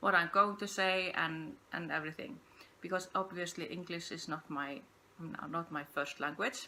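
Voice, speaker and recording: A woman with an Icelandic accent speaks at a fairly low pitch and a moderate pace. Her tone is bright and sharp, with ordinary pitch variation. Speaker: podcast host, yarn dyer. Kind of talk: casual unscripted monologue. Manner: halting, hesitant.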